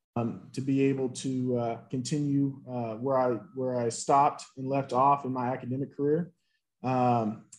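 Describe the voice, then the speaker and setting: A man with a Southern US accent speaks with monotone, flat intonation. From US South, Nashville, Tennessee. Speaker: former college football player. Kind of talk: interview. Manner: halting, many fillers.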